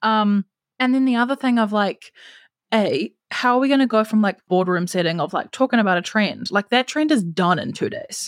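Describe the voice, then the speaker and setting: A woman with a New Zealand accent speaks at a moderate pace in a fairly high pitch. Her pitch varies in an ordinary way, and the sound is dry and close with no echo. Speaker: marketing strategist. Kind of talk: casual interview chat. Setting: video call from abroad.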